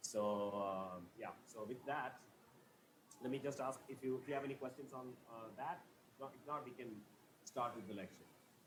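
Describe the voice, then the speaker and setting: A man talks at a medium pitch with ordinary pitch variation and long, frequent pauses. Audible room echo surrounds his voice. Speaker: physics professor. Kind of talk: lecture. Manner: fast.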